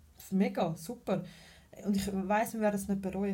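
Heard with audible room echo, a woman speaks in a somewhat breathy, dark, mellow voice at a medium pitch. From Switzerland, Zurich. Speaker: mother of two, party host. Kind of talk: casual chat.

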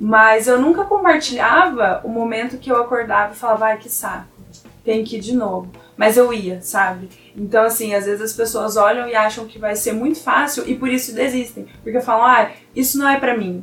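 A woman talks at a moderate pace in a high pitch, with big swings in loudness. Noticeable background noise sits behind her. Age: 20s. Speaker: university student. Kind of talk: casual chat.

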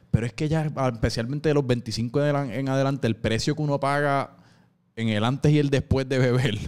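The speaker has a Puerto Rican accent and keeps a moderate pace. The recording is very clean, with a silent background. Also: man, medium pitch for a man. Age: 20s. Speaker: podcast host. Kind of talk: casual chat.

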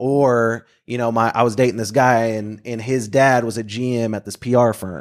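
At a moderate pace, a man with a plain, everyday voice and an American accent speaks at medium pitch with fairly even intonation, in a very clean recording with a silent background. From Oklahoma, Bartlesville. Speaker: speaker and community worker. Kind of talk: casual interview chat.

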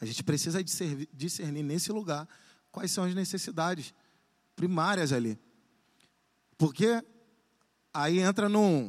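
A man speaks in a high pitch with lively intonation. His pace is fairly slow, with long, frequent pauses. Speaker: youth pastor. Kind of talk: sermon. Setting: church. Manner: animated.

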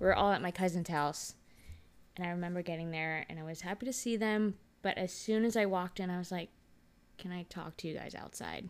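In an American accent, a woman speaks at a moderate pace with a fairly low pitch and fairly even intonation. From Texas, Dallas. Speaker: podcast co-host. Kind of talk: casual chat.

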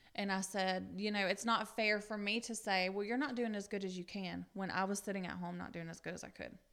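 A woman's medium-pitched voice with a Southern US accent, monotone, flat intonation and a fairly quick pace. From US South, upstate South Carolina. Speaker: guest sharing recovery story. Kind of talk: testimony.

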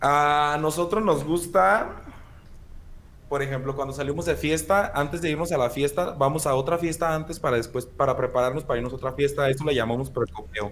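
Talking at a fairly quick pace, a man speaks in a Mexican accent. His pitch is fairly high, with ordinary variation. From Mexico, Michoacán (La Piedad). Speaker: podcast co-host. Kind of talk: casual chat.

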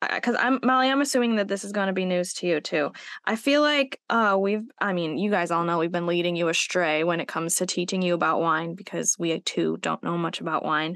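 A woman with a plain, everyday voice at medium pitch, talking at a fairly quick pace with lively intonation and hardly any pauses against a quiet background. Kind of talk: casual chat.

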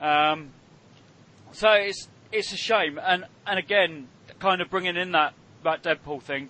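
Speaking with a British accent, a man with a high pitch for a man talks at a fairly slow pace, showing ordinary pitch variation and long, frequent pauses. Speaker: podcast host. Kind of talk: casual chat.

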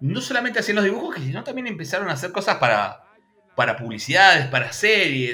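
With a raised, projected voice, a high-pitched man speaks in very wide pitch swings. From Argentina, Buenos Aires province interior near Bahía Blanca. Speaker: YouTube channel host, cartoon history specialist. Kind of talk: casual chat. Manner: animated.

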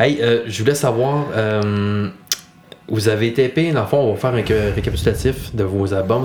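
A man at a medium pitch, fairly slow, with a Quebec accent, audible room echo and noticeable background noise. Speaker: podcast host. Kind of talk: casual interview.

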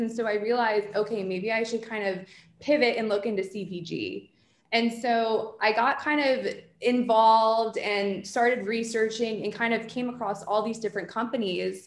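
In an American accent, a woman talks at a moderate pace with a fairly high pitch and fairly even intonation. She has an unremarkable speaking voice. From New Jersey. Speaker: PR agency founder. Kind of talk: casual interview.

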